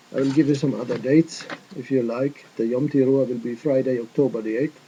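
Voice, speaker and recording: Here a man talks with fairly even intonation and medium pitch. His pace is fairly quick. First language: not English. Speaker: religious video teacher. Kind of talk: casual chat; lecture. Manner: careful non-native phrasing.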